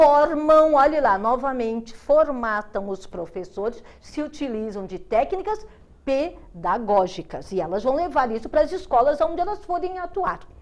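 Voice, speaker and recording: Speaking fairly slowly, a woman uses a high pitch with very wide swings. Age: 60s. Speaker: educator and speaker. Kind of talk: TV interview.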